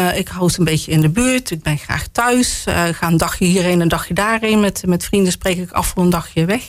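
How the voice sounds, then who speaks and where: Lively intonation colors a woman's speech, with noticeable background noise underneath. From Roosendaal, North Brabant, Netherlands. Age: 50s. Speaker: local politician. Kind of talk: casual interview. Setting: studio.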